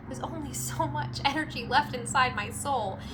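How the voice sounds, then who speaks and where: Music plays in the background as a woman speaks in a bubbly tone at a fairly quick pace. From California. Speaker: voice actor. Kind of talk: casual talk to camera. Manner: perky, bubbly.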